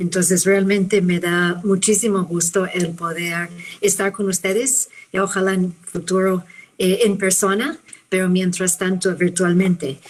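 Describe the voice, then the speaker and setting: Speaking with a non-native accent, a woman of medium pitch keeps a fairly slow pace and fairly even intonation. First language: not Spanish (speaking Spanish). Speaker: physician and professor. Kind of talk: conference talk. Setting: video call webinar.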